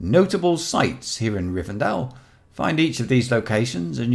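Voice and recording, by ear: Someone reads a text out loud. The delivery is natural.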